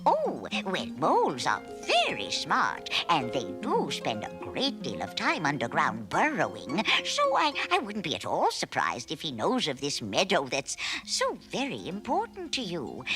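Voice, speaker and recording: A cartoonish character voice talks at a moderate pace while clear music plays in the background. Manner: fussy, gushing, hesitant fillers.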